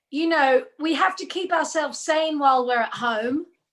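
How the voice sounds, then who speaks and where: Lively intonation runs through a woman's high-pitched voice. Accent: English. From Australia. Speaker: singer and tribute artist. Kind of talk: casual chat. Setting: video call.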